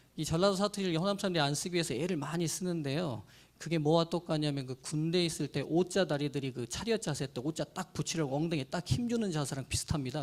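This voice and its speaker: A man's very fast speech, fairly high in pitch, with ordinary pitch variation. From Jeolla, South Korea. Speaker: pastor. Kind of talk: lecture. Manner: formal.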